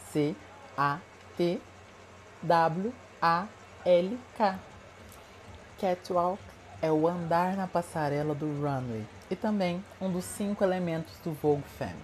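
Somewhat breathy and fairly low-pitched, a woman speaks with lively intonation. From Minas Gerais, Brazil (Uberlândia). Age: 20s. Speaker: fashion and beauty consultant, content creator. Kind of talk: scripted narration. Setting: home recording.

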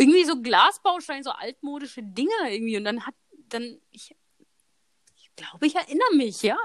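A woman with a high voice talks at a fairly quick pace, with long, frequent pauses. Her pitch swings very widely, and her loudness also swings a lot. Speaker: podcast host. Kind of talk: casual chat. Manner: laughing often.

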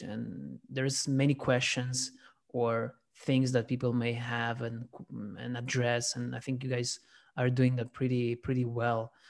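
A man of medium pitch speaks in a monotone, flat way at a fairly slow pace. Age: 20s. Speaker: podcast host. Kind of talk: casual interview. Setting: remote call.

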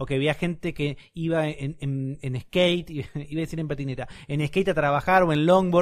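On a very clean recording with a silent background, a man speaks at a fairly high pitch with fairly even intonation. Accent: Rioplatense. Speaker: podcast co-host. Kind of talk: casual chat.

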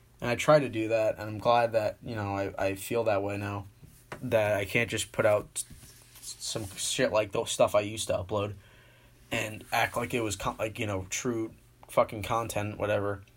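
At a moderate pace, a man speaks in a somewhat breathy voice with a fairly low pitch and monotone, flat intonation. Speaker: YouTuber and podcast host. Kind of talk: casual solo talk. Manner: stuttering.

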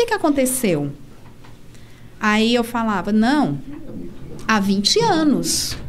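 Very slow and marked by long, frequent pauses, a woman's fairly high voice moves through very wide pitch swings amid audible room echo. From Brazil, Brasília. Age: 30s. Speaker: para-canoe athlete and teacher. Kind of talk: casual interview.

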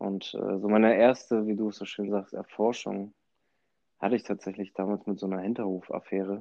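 In a normal speaking voice, a man talks at a fairly quick pace and a fairly low pitch. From Hamburg, northern Germany. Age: 20s. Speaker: podcast host. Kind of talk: casual chat.

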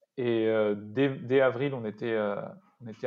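This man talks at a fairly slow pace, his medium-pitched voice keeping a fairly even intonation. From Paris suburbs, France. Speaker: startup co-founder. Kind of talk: interview. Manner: halting, many repetitions.

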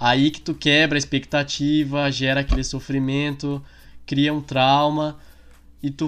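A man's fairly high voice, monotone and flat, at a fairly slow pace on a very clean recording with a silent background. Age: 20s. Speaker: podcast co-host. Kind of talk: casual chat.

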